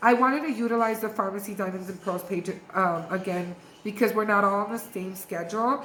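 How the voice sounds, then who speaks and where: Animated in tone, a woman at a medium pitch speaks amid audible room echo and noticeable background noise. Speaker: beauty sales distributor / influencer. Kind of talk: training video monologue. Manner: fast.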